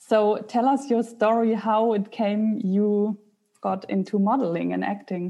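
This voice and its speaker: A woman with a German accent, at a fairly slow pace and with fairly even intonation. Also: fairly high pitch for a woman. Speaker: podcast host and mindset coach. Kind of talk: interview.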